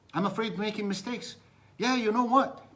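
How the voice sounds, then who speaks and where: This speaker has a non-native accent, an animated tone and ordinary pitch variation. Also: man. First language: Arabic. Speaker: business coach. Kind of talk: live-stream motivational talk. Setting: live stream.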